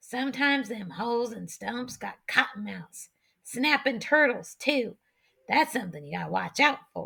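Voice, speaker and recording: A raspy, put-on character voice at a moderate pace with lively intonation. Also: woman, high pitch for a woman. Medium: read story. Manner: folksy backwoods drawl.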